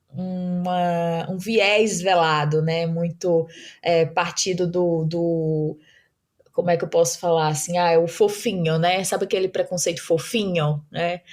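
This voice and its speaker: The recording is very clean, with a silent background. A woman with a fairly low pitch speaks in a flat monotone at a fairly slow pace. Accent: northeastern Brazilian. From Brazilian Northeast, Mossoró, Rio Grande do Norte. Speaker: startup founder and CEO. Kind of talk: podcast interview. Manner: hesitant, many fillers.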